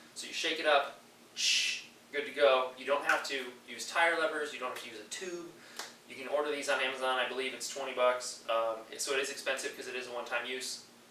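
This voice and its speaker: A man talks very fast at a medium pitch, his intonation fairly even and his loudness swinging widely. Noticeable background noise and audible room echo are present. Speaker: triathlon coach. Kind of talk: tutorial.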